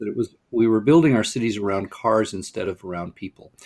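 In a Californian accent, the man moves along at a fairly quick pace. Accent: General American (Californian). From US West Coast, Pasadena, California. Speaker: urban planning nonprofit director, former mayor. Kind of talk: podcast interview.

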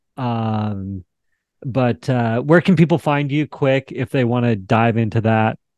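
A man with a normal speaking voice at medium pitch and a fairly slow pace, in a dry, close sound with no echo. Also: ordinary pitch variation, quiet background. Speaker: talk show host. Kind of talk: interview.

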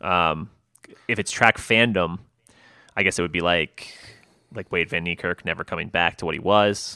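On a very clean recording with a silent background, a man speaks at a moderate pace in a very deep, low pitch with fairly even intonation and long, frequent pauses. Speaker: podcast co-host. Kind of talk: casual chat.

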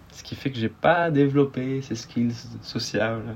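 A man's intonation stays fairly even while noticeable noise sounds behind him. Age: 20s. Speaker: guest sharing personal story. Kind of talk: interview, personal testimony. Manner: hesitant, many fillers and repetitions.

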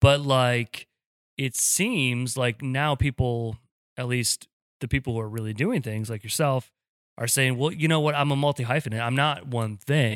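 Here a man with an unremarkable speaking voice talks at medium pitch and moderate pace with ordinary pitch variation, on a very clean recording with a silent background and a dry, close sound with no echo. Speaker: podcast co-host and small business owner. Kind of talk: casual chat.

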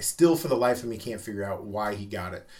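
Somewhat breathy and with a Midwestern American accent, a man talks at a fairly quick pace with lively intonation. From US Midwest, Omaha, Nebraska. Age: middle-aged. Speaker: tattoo artist and shop owner. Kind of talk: casual interview. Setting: small studio.

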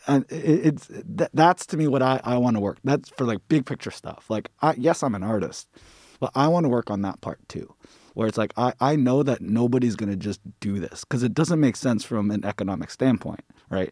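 In an ordinary speaking voice, a man talks at a fairly quick pace with lively intonation, in a very clean recording with a silent background and a dry, close sound with no echo. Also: medium pitch for a man. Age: 30s. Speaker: mural artist. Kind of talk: casual chat.

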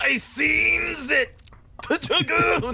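In a put-on character voice, a man shouts in a raised, projected voice. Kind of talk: broken grammar. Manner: screaming in panic.

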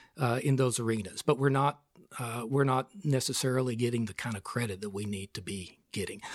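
A man in a West Texas accent speaks at a medium pitch with ordinary pitch variation and big swings in loudness. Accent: West Texas drawl. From West Texas (Snyder, Amarillo). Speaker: retired regional planning executive. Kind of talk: interview.

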